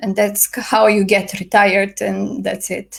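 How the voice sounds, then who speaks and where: This woman speaks with a non-native accent. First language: not English. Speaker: astrologer. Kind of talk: casual video talk. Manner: hesitant, many fillers.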